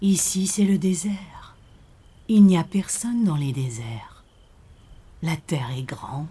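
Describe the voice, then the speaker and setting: A put-on character voice at middle pitch, calm in tone, with long, frequent pauses. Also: fairly slow pace. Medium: audio drama. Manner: slow, calm, enigmatic.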